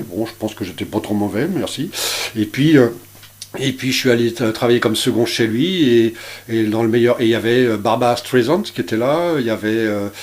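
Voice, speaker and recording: A man talks at a moderate pace in a medium pitch. His pitch varies in an ordinary way, and there is noticeable background noise. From France, Brittany (Dinard). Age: 60s. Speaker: chef. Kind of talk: radio interview. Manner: halting, many hesitations.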